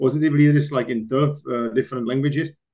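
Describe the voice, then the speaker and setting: A man with a Czech accent speaks at a fairly high pitch with fairly even intonation. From Czech Republic. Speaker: executive coach and author. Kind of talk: podcast interview. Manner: halting.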